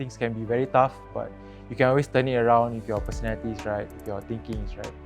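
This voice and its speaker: Over music in the background, a man with a Singaporean accent talks at a very fast pace and medium pitch, with ordinary pitch variation and big swings in loudness. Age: 20s. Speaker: financial representative. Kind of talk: interview answer. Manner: pausing between memories.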